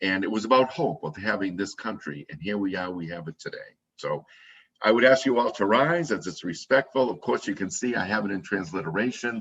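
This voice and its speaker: This man has an ordinary speaking voice with a fairly low pitch. He moves at a fairly quick pace with lively intonation. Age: 60s. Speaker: service leader. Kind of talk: religious service.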